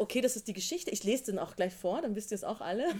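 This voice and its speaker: With a normal speaking voice, a woman speaks at a fairly high pitch with lively intonation on a very clean recording with a silent background. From Austria. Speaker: novelist. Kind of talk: literary discussion with audience. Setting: bookshop reading with live audience.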